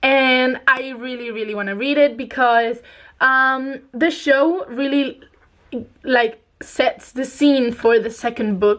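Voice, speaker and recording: A woman with a non-native accent talks very slowly in a high voice, her intonation fairly even. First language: not English. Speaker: book youtuber. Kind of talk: casual chat. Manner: casual, many fillers.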